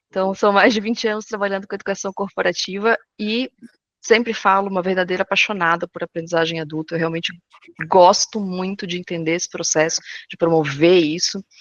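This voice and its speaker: A woman talks at a fairly quick pace and a medium pitch. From southern Brazil, Florianópolis. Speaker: corporate education consultant. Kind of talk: webinar presentation. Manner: fast; animated.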